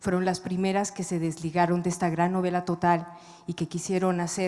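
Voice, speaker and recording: Soft-spoken and dark, mellow in tone, the voice moves at a fairly quick pace. Its intonation is monotone and flat. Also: woman. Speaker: writer. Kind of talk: panel discussion. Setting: stage with audience.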